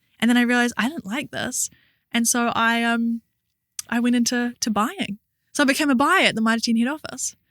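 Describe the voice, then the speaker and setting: In a New Zealand accent, a woman with a high pitch and ordinary pitch variation talks at a fairly quick pace, in a dry, close sound with no echo. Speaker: entrepreneur and actor. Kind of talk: interview.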